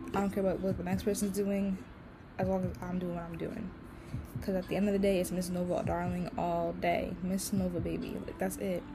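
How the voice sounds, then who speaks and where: At a fairly quick pace, a woman speaks amid audible room echo. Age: 20s. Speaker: podcast host and digital artist. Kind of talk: casual solo vlog talk. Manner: rambling, fast flowing.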